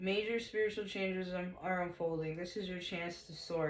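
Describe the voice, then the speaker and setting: Audible room echo surrounds a woman who speaks at medium pitch and a moderate pace, her intonation monotone and flat. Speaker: tarot reader. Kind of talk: tarot reading. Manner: casual, profane.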